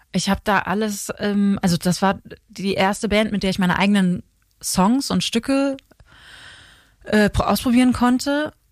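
At a moderate pace, a woman of medium pitch and ordinary pitch variation speaks with long, frequent pauses on a very clean recording with a silent background. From Germany, near Alsace, Rhine region. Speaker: singer and songwriter. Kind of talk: interview. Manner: hesitant, many fillers.

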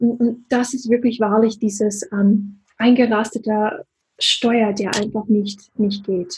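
A woman with an American accent, fairly high-pitched and somewhat breathy, with fairly even intonation and a very slow pace. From USA. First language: English (speaking German). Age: 40s. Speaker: business coach. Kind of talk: interview.

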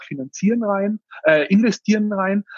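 A man speaks with a Tyrolean accent at a fairly slow pace, with ordinary pitch variation. The sound is dry and close, without echo. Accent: Tyrolean Austrian dialect. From Austria, Tyrol. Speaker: startup founder. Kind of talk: interview.

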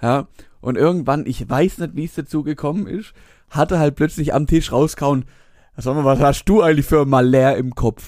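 On a very clean recording with a silent background, a man talks at a moderate pace in a strong Swabian accent, his fairly high voice showing ordinary pitch variation. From Swabia, Germany. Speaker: podcast co-host. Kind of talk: casual chat.

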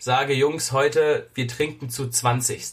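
The man's voice sits at a fairly high pitch for a man. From Germany. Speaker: podcast host. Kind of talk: casual chat. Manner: animated.

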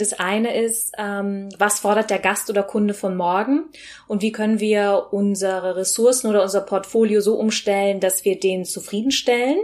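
A woman with an ordinary speaking voice, moderate in pace, with fairly even intonation. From Rhineland, Germany (Bergisch Gladbach near Cologne). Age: 30s. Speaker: sustainability and food consultant, podcast co-host. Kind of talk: interview, telling her own story.

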